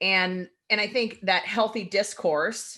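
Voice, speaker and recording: Against a quiet background, a woman speaks loudly in a bright, sharp, animated tone with ordinary pitch variation. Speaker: podcast co-host. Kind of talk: casual chat.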